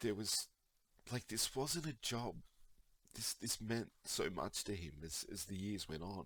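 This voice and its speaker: A man speaks at a fairly slow pace with a fairly low pitch. Long pauses come often. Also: lively intonation. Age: 40s. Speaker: video creator, fan. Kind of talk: emotional monologue. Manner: halting, rambling.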